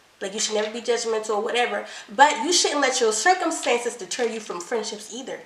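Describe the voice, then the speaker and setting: A woman's animated voice at a fairly quick pace, with audible room echo and noticeable background noise. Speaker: couples channel co-host. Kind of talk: casual chat. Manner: fast.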